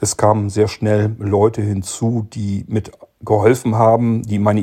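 A man speaks with a dark, mellow tone at a fairly low pitch, his voice somewhat breathy. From northern Germany, rural Lower Saxony. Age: 50s. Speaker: podcast host. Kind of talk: casual chat. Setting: recorded separately via chat app.

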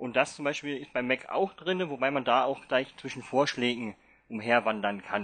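A man with an unremarkable speaking voice talks at medium pitch and a moderate pace with ordinary pitch variation, over a quiet background. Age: 30s. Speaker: blind Mac user leading a workshop. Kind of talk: online workshop talk.

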